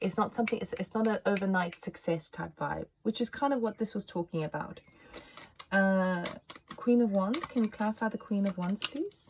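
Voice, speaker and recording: Noticeable background noise surrounds this speaker. A woman talks at a medium pitch with ordinary pitch variation. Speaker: tarot reader. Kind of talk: tarot reading monologue. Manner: fast; animated.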